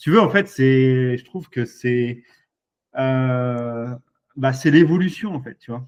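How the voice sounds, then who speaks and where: Very slowly and with long, frequent pauses, a man talks at a medium pitch, his loudness swinging widely. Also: ordinary pitch variation. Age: 40s. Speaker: e-commerce entrepreneur, former fisherman. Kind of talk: casual interview.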